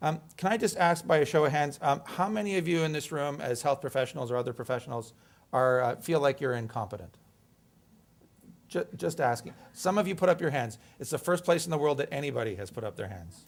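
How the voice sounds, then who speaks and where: Speaking at a fairly quick pace, a man with an ordinary speaking voice sits fairly high in pitch in a very clean recording with a silent background. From Canada. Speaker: emergency physician and medical educator. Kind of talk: lecture. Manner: conversational, interactive.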